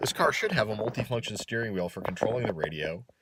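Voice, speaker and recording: The speaker has lively intonation and a slight American accent. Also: man. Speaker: car enthusiast YouTuber. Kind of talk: casual DIY video narration.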